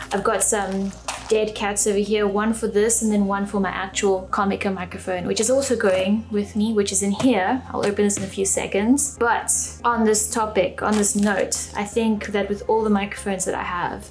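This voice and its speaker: A woman's moderately paced speech carries audible room echo and noticeable background noise. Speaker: photography and video YouTuber. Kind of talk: gear show-and-tell vlog. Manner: monotone.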